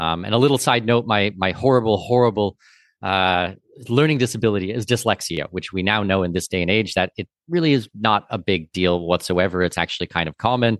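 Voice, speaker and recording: A man with a Canadian accent talks at a fairly quick pace in an unremarkable speaking voice with a fairly low pitch and ordinary pitch variation. The sound is dry and close with no echo, over a quiet background. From Canada, Southwestern Ontario. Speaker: expat investment consultant. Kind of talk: interview.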